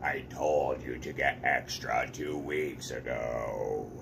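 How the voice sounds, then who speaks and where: A man's put-on character voice, very slow in pace, against loud background noise. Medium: read story. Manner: fretful, serious.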